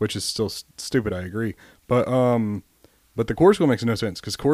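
Fairly quick and with ordinary pitch variation, a man talks in a plain, everyday voice. The recording is very clean, with a silent background. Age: 20s. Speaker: navy corpsman. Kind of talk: casual chat.

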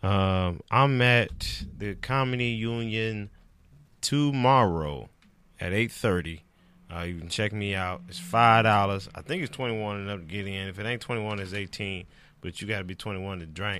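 A man with an American accent speaks at a moderate pace in a fairly low pitch, his bright, sharp tone moving with ordinary pitch variation on a very clean recording with a silent background. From Detroit, Michigan. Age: 30s. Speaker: comedian. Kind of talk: casual chat.

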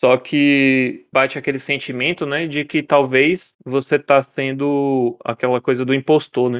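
Delivered at a fairly slow pace with fairly even intonation, this is an ordinary speaking voice. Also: man. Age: 20s. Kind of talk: casual interview.

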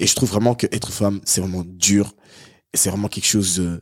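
A fairly low-pitched man at a moderate pace, on a very clean recording with a silent background. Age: young. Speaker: podcast guest. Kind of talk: casual chat.

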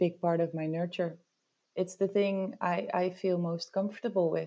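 A woman's medium-pitched voice with a dark, mellow tone, fairly even intonation and a moderate pace. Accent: Dutch. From rural northern Netherlands. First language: Dutch. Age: 30s. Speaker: IT worker and local politician. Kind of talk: casual interview.

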